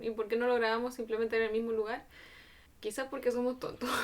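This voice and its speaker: Soft-spoken and high-pitched, a woman talks. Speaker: podcast co-host. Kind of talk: casual chat. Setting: home studio.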